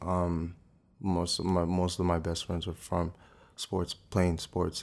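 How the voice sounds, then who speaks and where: In a very clean recording with a silent background, the speaker talks with a New Jersey accent. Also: man. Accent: New Jersey American. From US Northeast (South Orange, New Jersey). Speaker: actor. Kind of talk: interview. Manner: casual, hesitant with many fillers.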